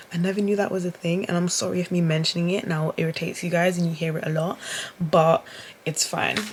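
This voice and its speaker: A woman's very fast, monotone, flat speech in a British accent, fairly low in pitch, with noticeable background noise. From UK. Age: 20s. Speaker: vlogger. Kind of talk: casual vlog monologue. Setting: in bed at home, self-recorded. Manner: talkative, rambling delivery.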